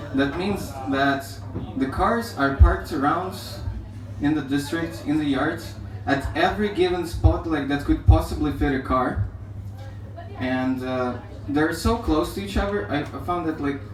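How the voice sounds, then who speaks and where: Speaking at a fairly slow pace with a non-native accent, a man with a fairly high pitch swings very widely in pitch and leaves long, frequent pauses, amid noticeable background noise and audible room echo. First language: not English. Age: young. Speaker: amateur stand-up comedian. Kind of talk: stand-up. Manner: halting.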